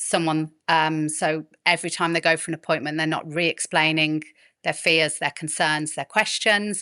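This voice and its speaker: With a Birmingham accent, a woman of fairly low pitch speaks at a moderate pace in a bright, sharp tone, the sound dry and close with no echo against a quiet background. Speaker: midwife and fertility specialist. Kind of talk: podcast interview.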